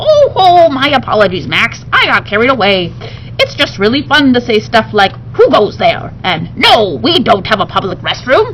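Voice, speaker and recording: A put-on character voice is heard over clear background noise. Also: moderate pace. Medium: read story. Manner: playful, excitable.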